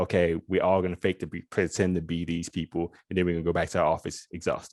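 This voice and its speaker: Someone talks very fast with a Southern US accent in a monotone, flat delivery. The sound is dry and close, with no echo. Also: man, very deep, low pitch for a man. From US South. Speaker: lawyer. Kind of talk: panel discussion. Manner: informal; halting, many restarts.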